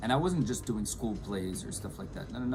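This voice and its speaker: A man with a French accent and fairly low pitch speaks in lively intonation, with audible room echo and noticeable background noise. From France, Nice. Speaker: actor and English teacher. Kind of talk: casual chat.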